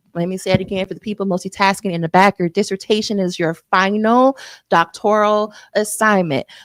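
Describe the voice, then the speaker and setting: In a dry, close recording with no echo, a woman at medium pitch sounds animated, her intonation lively. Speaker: dissertation coach. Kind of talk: live webinar workshop. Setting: livestream with chat. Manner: fast.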